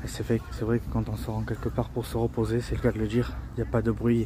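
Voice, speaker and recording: A man talks fairly quickly while noticeable background noise runs underneath. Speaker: travel vlogger. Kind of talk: casual vlog narration. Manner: soft-spoken; halting, many repetitions.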